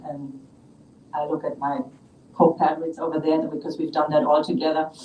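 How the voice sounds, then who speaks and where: Noticeable background noise sits under talking that moves at a fairly quick pace. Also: woman. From Germany. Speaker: small business owner. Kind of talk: public comment at city council meeting. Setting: city council meeting.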